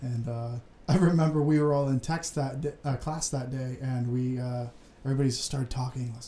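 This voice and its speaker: Speaking in a plain, everyday voice, a man keeps a fairly quick pace at medium pitch with fairly even intonation. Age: 20s. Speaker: student podcast co-host. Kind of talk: casual chat.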